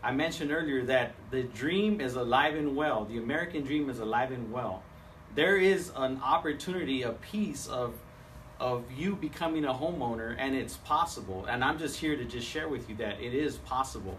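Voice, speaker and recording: A man at medium pitch talks in an animated tone with ordinary pitch variation. There is audible room echo and noticeable background noise. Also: moderate pace. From San Diego, California. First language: Spanish. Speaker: seminar speaker, home loan professional. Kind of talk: seminar presentation. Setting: live event with audience, streamed on Facebook Live. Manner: halting, many fillers and repeats.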